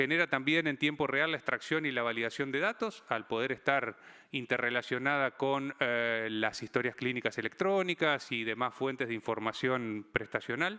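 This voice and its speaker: A man speaks at a medium pitch with ordinary pitch variation and hardly any pauses. His loudness stays very even throughout. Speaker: physician and health digital consultant, conference speaker. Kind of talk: conference talk. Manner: fast; hesitant with repetitions.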